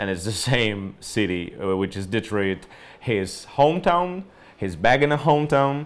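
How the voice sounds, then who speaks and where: A man speaks with a Polish accent and lively intonation. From Poland. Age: 30s. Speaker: journalist and writer. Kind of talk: book recommendation monologue. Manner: hesitant, many fillers. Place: home room.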